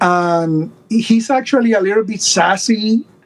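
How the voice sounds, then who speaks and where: The speaker has a Puerto Rican accent and ordinary pitch variation. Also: man. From Puerto Rico. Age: 50s. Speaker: doll collector. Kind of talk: casual interview chat.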